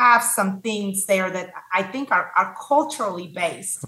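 In a Spanish accent, a woman speaks at a fairly slow pace with lively intonation. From Mexico. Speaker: cancer survivor and nonprofit founder. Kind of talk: casual interview conversation.

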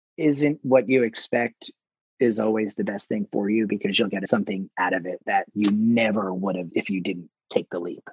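Speaking with an American accent, a man moves at a moderate pace with very wide pitch swings. The sound is dry and close, with no echo. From New Jersey. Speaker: publicist. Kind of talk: interview.

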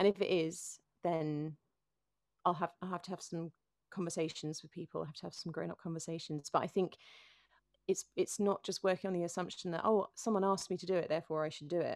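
A woman with a London accent, fairly low-pitched and fairly quick, monotone and flat, with big swings in loudness and a dry, close sound with no echo. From London (North London, Finchley). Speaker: singer-songwriter and worship leader. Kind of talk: interview conversation.

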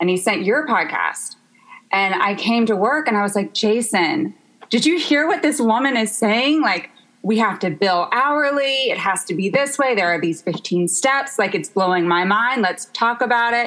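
A woman speaks at a moderate pace with an American accent and very even loudness. Her fairly high voice swings very widely in pitch. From US South, Memphis, Tennessee. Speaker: interior designer. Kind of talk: casual chat.

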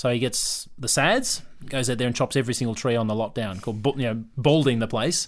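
Speaking fairly quickly with an Australian accent, a man holds a medium pitch and ordinary pitch variation. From Victoria, Australia (Yarra Glen). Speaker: property developer. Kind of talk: casual interview. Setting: studio.

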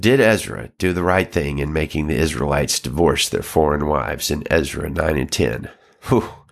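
In a very clean recording with a silent background, a man with a Southern US accent speaks at a very deep, low pitch, with vocal fry. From Alabama, US South. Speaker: pastor and podcast host. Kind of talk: Bible reading and teaching commentary.

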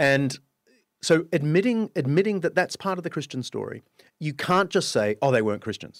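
Speaking with an Australian accent, a man uses a fairly high pitch and very wide pitch swings. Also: moderate pace, dry, close sound with no echo, very clean recording, silent background. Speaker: author and historian. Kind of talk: casual interview chat. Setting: studio.

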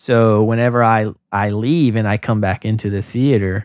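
The speaker has an American accent and talks at a fairly slow pace with ordinary pitch variation. The recording is very clean and dry, close with no echo and a silent background. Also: man. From US South, North Carolina (Hope Mills, near Fayetteville). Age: 30s. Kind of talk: interview, casual chat. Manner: hesitant, many fillers and repeats.

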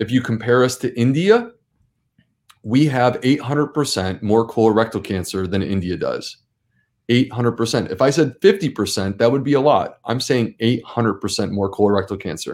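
In an American accent, a man with a normal speaking voice talks at a moderate pace and medium pitch, with ordinary pitch variation. The recording is very clean, with a silent background. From US Northeast (Syracuse, New York). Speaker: gastroenterologist. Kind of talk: interview. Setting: live-streamed show.

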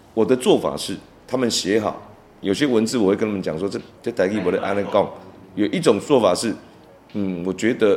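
A fairly low-pitched male voice with a Taiwanese accent, moderate pace and ordinary pitch variation. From Taiwan, Tainan. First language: Taiwanese Hokkien (speaking Chinese). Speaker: veteran songwriter and music producer. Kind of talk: interview. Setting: studio.

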